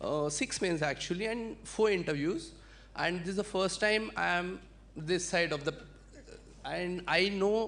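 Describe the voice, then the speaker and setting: Fairly slow speech in a Marathi accent, with long, frequent pauses. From India, Adilabad, Telangana. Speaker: civil services exam winner. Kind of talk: testimony.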